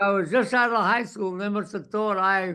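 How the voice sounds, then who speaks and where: Raised and projected, a man's high voice carries a bright, sharp tone and fairly even intonation over a quiet background. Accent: American. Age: 80s+. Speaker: war veteran. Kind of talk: oral history interview.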